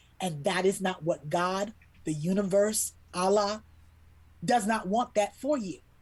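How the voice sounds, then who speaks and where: A somewhat breathy voice with an American accent, ordinary pitch variation, and a fairly slow pace. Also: woman, medium pitch for a woman. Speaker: children's book illustrator. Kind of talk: interview storytelling. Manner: animated.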